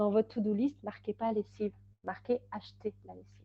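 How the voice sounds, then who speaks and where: Speaking at a very fast pace, a woman keeps a fairly high pitch and fairly even intonation. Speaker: time management consultant and trainer. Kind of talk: webinar presentation. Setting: online webinar. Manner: hesitant, many fillers.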